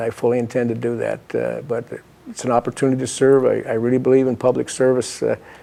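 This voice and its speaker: At a very fast pace, a man with an Upper Midwest accent speaks at a medium pitch in a monotone, flat intonation. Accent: Upper Midwest (Minnesota). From Minnesota. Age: 60s. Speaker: political candidate. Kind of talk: interview. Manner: halting, many fillers.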